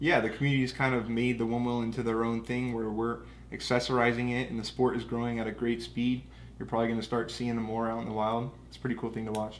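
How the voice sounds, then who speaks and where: Talking at a very fast pace in a flat monotone, a man with an American accent and medium pitch is heard with audible room echo. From US West Coast, Southern California. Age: 20s. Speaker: business owner. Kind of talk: casual interview.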